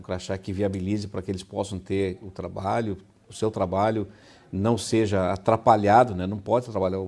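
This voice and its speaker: Recorded very cleanly against a silent background, a man talks at a fairly quick pace. His pitch is fairly low and his tone dark and mellow. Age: 60s. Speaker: city council president. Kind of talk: interview. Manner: hesitant, with fillers.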